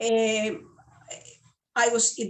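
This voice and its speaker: Speaking in a Spanish accent, the woman keeps her voice fairly high in pitch. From Venezuela. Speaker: legal services sales representative. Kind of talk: interview.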